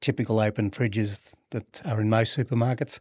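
The background is quiet, and the sound is dry and close with no echo. A man talks in an Australian accent. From Brisbane, Australia. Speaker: refrigeration company founder. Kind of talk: casual interview.

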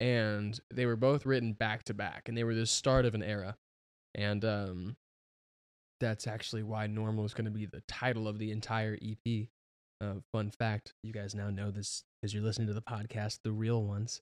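In a very clean recording with a silent background and a dry, close sound free of echo, a man with a fairly low pitch talks at a moderate pace in a monotone, flat intonation. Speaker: pop musician. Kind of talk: casual chat.

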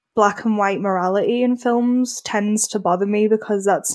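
A woman's medium-pitched voice with a British accent, fairly even intonation and a moderate pace, on a very clean recording with a silent background. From Britain. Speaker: graphic designer and writer. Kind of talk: casual interview about films.

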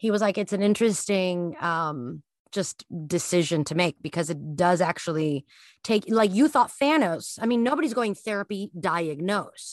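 A woman speaks at a moderate pace with lively intonation and a medium pitch, her voice dry and close with no echo against a quiet background. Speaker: astrology podcaster. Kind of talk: casual chat. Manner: animated; halting.

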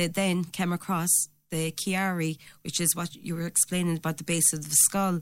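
A woman speaks at a fairly quick pace with a Limerick accent. The recording is very clean, with a silent background. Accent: Irish (Limerick). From Ireland, Limerick area. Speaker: mother campaigning for council housing. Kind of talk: radio interview. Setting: radio studio.

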